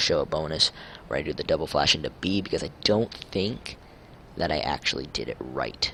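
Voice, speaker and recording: Amid noticeable background noise, a man with a very deep, low pitch speaks quietly at a fairly quick pace with ordinary pitch variation. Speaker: gaming YouTuber. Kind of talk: gameplay tutorial. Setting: home, late at night. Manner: hushed, keeping voice down late at night.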